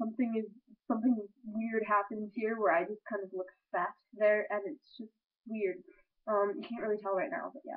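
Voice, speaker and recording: Here is a woman with a plain, everyday voice. She talks at a moderate pace, pitched fairly high, with ordinary pitch variation. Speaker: vlogger giving advice. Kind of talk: casual webcam monologue.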